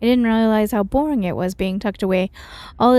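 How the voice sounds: The speaker reads in a natural voice with ordinary pitch variation.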